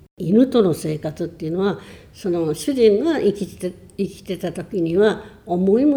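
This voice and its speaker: Somewhat breathy with a dark, mellow tone, a woman's medium-pitched voice moves at a fairly slow pace with lively intonation. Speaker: churchgoer sharing faith story. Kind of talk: testimony.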